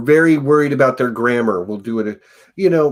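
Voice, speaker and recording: This man's voice has a medium pitch, lively intonation and a moderate pace. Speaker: podcast host. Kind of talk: casual chat.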